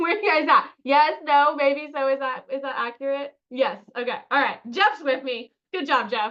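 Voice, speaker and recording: Here is a woman with a high pitch. Her tone is animated. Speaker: marketing coach. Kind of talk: webinar.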